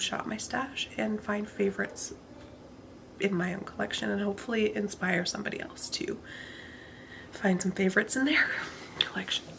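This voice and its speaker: A woman speaks with long, frequent pauses. Noticeable background noise sits behind her. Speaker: beauty vlogger. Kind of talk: casual vlog monologue. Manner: monotone.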